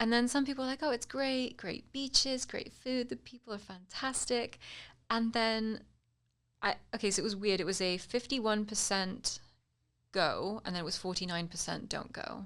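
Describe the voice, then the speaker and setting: The recording is very clean, with a silent background. A woman in a British accent speaks at a fairly high pitch with ordinary pitch variation. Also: moderate pace. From United Kingdom. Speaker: political commentator and social media influencer. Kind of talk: casual political chat. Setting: studio.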